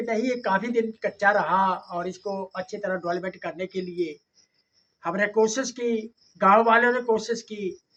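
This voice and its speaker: A man's high, bright and sharp voice, raised and projected, with ordinary pitch variation. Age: 70s. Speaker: former village head and retired army captain. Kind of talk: interview answers.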